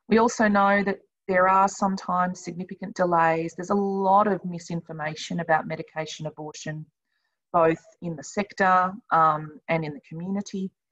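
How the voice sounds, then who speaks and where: A woman at a moderate pace with fairly even intonation, against a quiet background. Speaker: service team leader presenter. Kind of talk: webinar presentation. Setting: video call webinar. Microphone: webcam.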